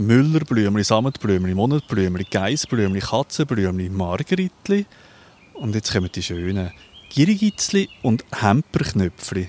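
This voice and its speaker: A plain, everyday voice speaks at a fairly slow pace with lively intonation. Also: man, fairly low pitch for a man. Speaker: podcast host and producer. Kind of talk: casual chat. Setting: outdoors in a garden.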